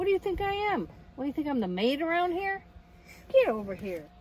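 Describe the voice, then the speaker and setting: A woman talks at a very fast pace in a high-pitched voice. Her pitch swings very widely. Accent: American. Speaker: van camping vlogger. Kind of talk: casual vlog. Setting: inside a van at a campground at night. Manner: quiet, low volume.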